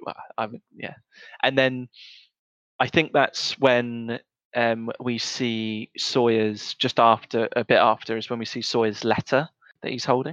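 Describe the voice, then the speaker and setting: The speech comes with a British accent at a fairly slow pace. Intonation is monotone and flat, and the sound is dry and close with no echo. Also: man, medium pitch for a man. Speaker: podcast co-host. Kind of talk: casual chat. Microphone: audio issues in early episodes.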